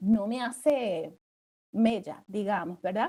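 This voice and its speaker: A woman's fairly high, dark and mellow voice at a very slow pace, with lively intonation. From Puerto Rico. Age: 40s. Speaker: international law attorney. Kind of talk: panel discussion. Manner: hesitant, many fillers.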